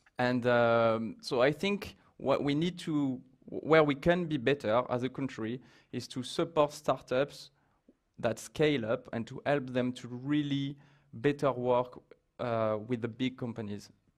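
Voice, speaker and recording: Over a quiet background, a man with a French accent talks at a fairly slow pace, his medium pitch showing ordinary pitch variation. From France. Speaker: startup executive. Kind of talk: panel interview. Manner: halting.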